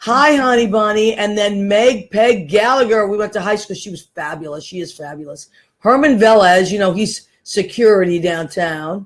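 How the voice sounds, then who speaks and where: At a moderate pace and medium pitch with ordinary pitch variation, a woman with an American accent speaks on a very clean recording with a silent background. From Massachusetts. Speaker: talk show host. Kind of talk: casual chat. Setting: studio with small audience. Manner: animated.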